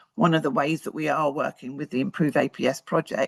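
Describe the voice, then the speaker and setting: Someone talks at a fairly quick pace with a British accent. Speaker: research presenter. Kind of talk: conference presentation. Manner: fast; hesitant, with fillers.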